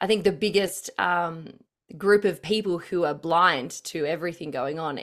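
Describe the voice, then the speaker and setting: A fairly low-pitched woman at a moderate pace with ordinary pitch variation, on a very clean recording with a silent background. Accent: Australian. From Australia. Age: 30s. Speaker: political commentator. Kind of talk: casual chat.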